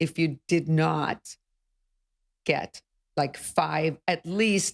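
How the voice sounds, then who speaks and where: On a very clean recording with a silent background and a dry, close sound with no echo, a woman with a fairly low pitch and a non-native accent speaks at a very slow pace with fairly even intonation. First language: not English. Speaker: real estate broker. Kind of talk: podcast interview.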